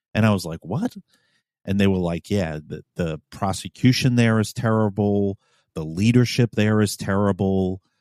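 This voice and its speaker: A plain, everyday voice: a man with an American accent, fairly low pitch and ordinary pitch variation, in a very clean recording with a silent background. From New York City. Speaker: podcast host, police officer. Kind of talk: casual chat.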